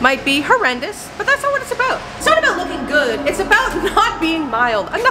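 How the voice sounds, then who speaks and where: Music plays in the background. A woman talks at a fairly quick pace. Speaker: comedic vlogger. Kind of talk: casual vlog chat. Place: garage. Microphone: phone near.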